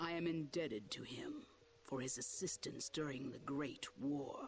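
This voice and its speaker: A man puts on a character voice with a fairly high pitch at a moderate pace. Background noise is clearly audible. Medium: video game. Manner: formal, measured.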